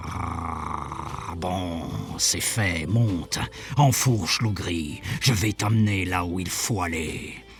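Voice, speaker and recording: Clear background noise surrounds a man's put-on character voice, pitched very deep and low and delivered at a very slow pace. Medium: read story. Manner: sighing, fatherly.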